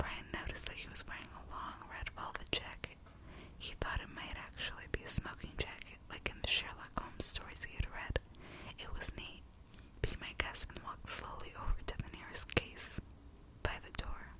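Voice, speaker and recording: Someone whispers at a moderate pace over noticeable background noise. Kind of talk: audiobook reading. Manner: whispered.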